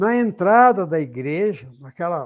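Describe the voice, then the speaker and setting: A man speaks with very wide pitch swings. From Brazil, São Paulo state. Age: 90s. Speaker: spiritist lecturer. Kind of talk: lecture. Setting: online talk. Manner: halting, with repetitions.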